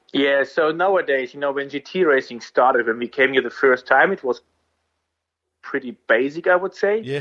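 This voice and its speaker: A man speaks at a moderate pace with a fairly high pitch. He has an ordinary speaking voice with ordinary pitch variation. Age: 30s. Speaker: racing driver. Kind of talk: interview.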